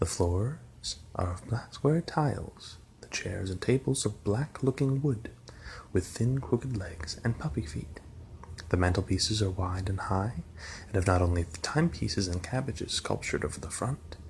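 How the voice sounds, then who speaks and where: A soft-spoken man is talking. His pitch swings very widely. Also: fairly low pitch for a man, moderate pace. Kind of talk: ASMR story reading.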